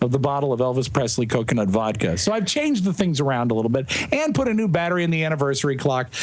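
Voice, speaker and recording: Over noticeable background noise, a man talks at a very fast pace in an animated tone with lively intonation. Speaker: podcast co-host guest. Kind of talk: casual chat. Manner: loud.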